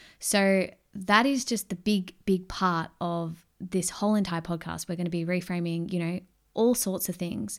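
With a strong Australian accent, a woman speaks at a moderate pace and a medium pitch with ordinary pitch variation, recorded very cleanly against a silent background. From Australia, Melbourne. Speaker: podcast host, mindset coach. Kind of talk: casual solo monologue.

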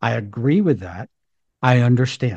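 A man's unremarkable speaking voice at a moderate pace and medium pitch. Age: 60s. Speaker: podcast host. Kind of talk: casual monologue. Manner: warm, conversational.

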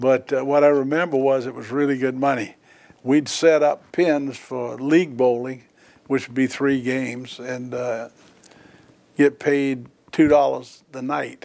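A man with an American accent speaks in a warm tone at medium pitch, monotone and flat, with big swings in loudness. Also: fairly slow pace. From Charleston, South Carolina. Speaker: retired federal judge. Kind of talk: oral history interview, elder life story recollection. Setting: judge's chambers interview. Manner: reminiscing, warm; unhurried storyteller, fond and anecdotal.

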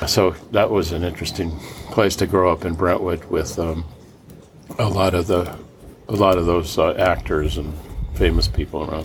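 Over noticeable background noise, a man with an American accent speaks in a very deep, low pitch at a moderate pace, with fairly even intonation and long, frequent pauses. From Los Angeles, California. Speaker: solar energy entrepreneur. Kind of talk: interview storytelling.

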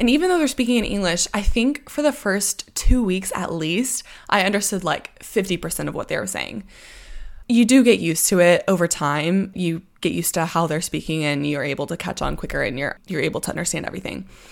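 A woman with an American accent and vocal fry, fairly quick in pace, with very wide pitch swings, on a very clean recording with a silent background. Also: medium pitch for a woman. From Texas. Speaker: podcast host. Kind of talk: solo podcast monologue with personal anecdotes. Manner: fast talker, sometimes slurs words together; friendly, conversational.

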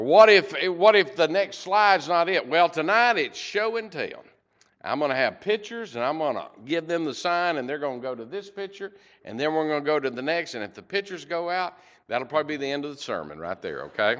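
At a fairly quick pace, a man with an American accent speaks at a high pitch, with big swings in loudness. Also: lively intonation. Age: 50s. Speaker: preacher. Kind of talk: sermon. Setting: church. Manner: halting.

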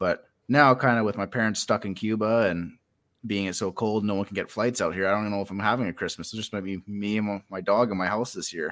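With a Canadian prairie accent, a man speaks very fast in a fairly low pitch and fairly even intonation, on a very clean recording with a silent background. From Saskatchewan, Canada. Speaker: fantasy author. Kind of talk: casual chat.

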